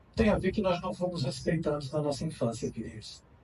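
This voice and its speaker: A man speaks with ordinary pitch variation. His voice has audible room echo. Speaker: spiritist speaker and psychoanalyst. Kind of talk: lecture. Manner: loud.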